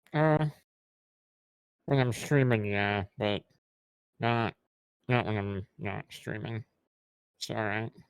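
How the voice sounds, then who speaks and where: Speaking very slowly with long, frequent pauses, a man with a fairly low pitch and an American accent comes through dry and close, with no echo. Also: ordinary pitch variation. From South Dakota, US. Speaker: streamer, interview guest. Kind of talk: casual interview.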